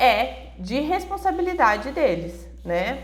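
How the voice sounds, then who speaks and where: A woman talks at a very slow pace in a strained voice. Noticeable background noise and audible room echo fill the recording. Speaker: Bible devotional teacher. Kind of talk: devotional Bible teaching. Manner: moderate, restrained pace.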